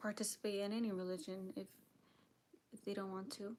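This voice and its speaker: The speaker is a woman. Her pitch is medium. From Mexican heritage. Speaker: livestreamer. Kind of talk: casual livestream talk. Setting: live stream. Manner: hesitant, many fillers.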